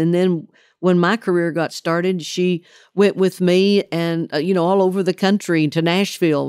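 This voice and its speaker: Against the silent background of a very clean recording, a woman with a Southern accent speaks at a moderate pace with a fairly low pitch and monotone, flat intonation. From Oklahoma. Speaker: country singer. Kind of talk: interview answer.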